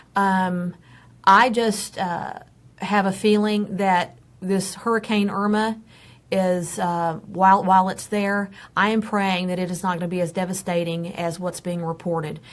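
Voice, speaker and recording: Speaking with an American accent, a woman uses medium pitch, monotone, flat intonation and a fairly slow pace on a very clean recording with a silent background. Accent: Texan accent, noticed by others. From Texas. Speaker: pet advocate and first responder. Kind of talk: live show discussion.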